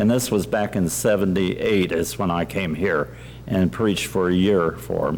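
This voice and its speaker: Speaking at a fairly slow pace, a man with a fairly low pitch makes very wide pitch swings. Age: 80s+. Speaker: pastor. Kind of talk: reminiscence speech. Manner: halting.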